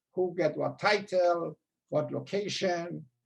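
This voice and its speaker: A man with a high pitch speaks in a strong Persian accent. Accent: heavy Persian. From Iran. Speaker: former school administrator. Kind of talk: storytelling interview.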